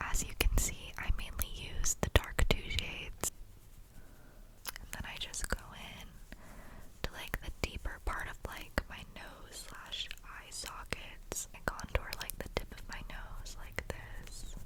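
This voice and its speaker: Whispering at a very slow pace, a woman's voice rises and falls sharply in loudness over noticeable background noise. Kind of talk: ASMR makeup tutorial, get-ready-with-me. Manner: whispered, soft, relaxing.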